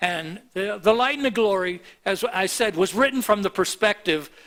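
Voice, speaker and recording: A man's raised, projected voice, high-pitched and bright, sharp in tone, with lively intonation. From US (Miami, Florida). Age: 70s. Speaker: pastor. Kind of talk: sermon. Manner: halting.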